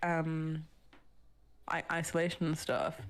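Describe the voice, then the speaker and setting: A woman speaks with a British accent. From Britain. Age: 20s. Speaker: book social media creator. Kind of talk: casual chat.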